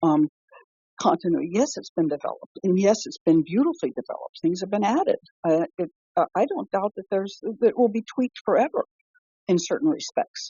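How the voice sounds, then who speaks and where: A woman with a medium pitch speaks at a fairly quick pace, somewhat breathy, her pitch swinging very widely. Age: 70s. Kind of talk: casual conversational interview. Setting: phone call. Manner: halting, with many fillers and restarts.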